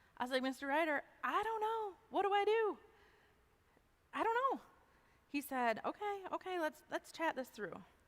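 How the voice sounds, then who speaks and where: A woman speaks loudly, her pitch swinging very widely. She leaves long, frequent pauses. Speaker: chapel speaker. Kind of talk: testimony. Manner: animated.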